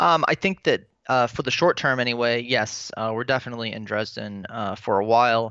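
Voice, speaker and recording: A man with an American accent speaks at a moderate pace and a medium pitch. His intonation stays fairly even. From Florida, US. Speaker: teacher. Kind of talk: interview. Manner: hesitant, many fillers.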